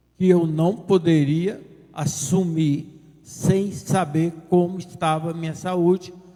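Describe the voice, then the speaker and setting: Over noticeable background noise and audible room echo, a man speaks very slowly in a high, monotone voice with flat intonation. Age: 70s. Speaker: politician, former mayor. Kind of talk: press conference statement. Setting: press conference with audience.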